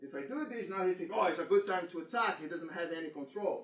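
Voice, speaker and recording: A man talks over noticeable background noise. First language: Portuguese. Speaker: jiu-jitsu instructor. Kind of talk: seminar instruction.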